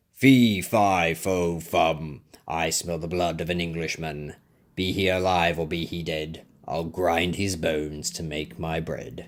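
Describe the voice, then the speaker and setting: A man's booming, raspy put-on character voice, very deep and low, at a fairly slow pace. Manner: bellowing, booming.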